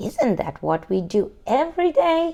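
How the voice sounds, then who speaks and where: At a moderate pace, a put-on character voice that sounds female uses a high pitch with very wide pitch swings. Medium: read story.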